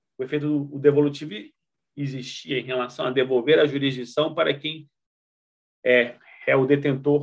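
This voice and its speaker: The man talks at a fairly slow pace with a fairly high pitch. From Rondônia, northern Brazil. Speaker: law professor. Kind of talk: interview. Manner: halting.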